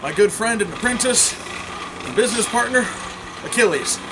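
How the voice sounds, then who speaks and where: Talking at a very fast pace with fairly even intonation, a man is heard through audible room echo and noticeable background noise. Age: 20s. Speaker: blacksmith. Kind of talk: demonstration tutorial. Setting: outdoors under a canopy in snow.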